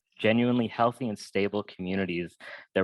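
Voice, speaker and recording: Against a quiet background, a man speaks with fairly even intonation in a dry, close sound with no echo. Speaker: panel presenter, abolition advocate. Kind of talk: webinar panel talk.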